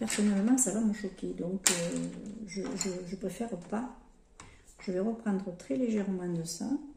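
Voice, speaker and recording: With audible room echo, a woman talks at a fairly slow pace, leaving long, frequent pauses. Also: medium pitch for a woman, ordinary pitch variation. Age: 60s. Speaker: lifestyle vlogger. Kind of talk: makeup tutorial chat. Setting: home, sunlight through skylight. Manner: casual, hesitant with repetitions.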